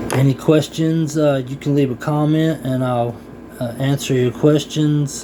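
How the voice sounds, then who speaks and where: With noticeable background noise behind him, a man speaks fairly slowly in a monotone, flat tone at a fairly high pitch. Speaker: vlogger sharing personal experience. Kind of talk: casual personal talk to camera. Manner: hesitant, many fillers.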